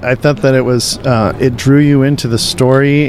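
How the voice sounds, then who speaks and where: This man speaks at a medium pitch, with noticeable background noise around him. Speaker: radio host. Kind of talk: casual chat. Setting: convention floor.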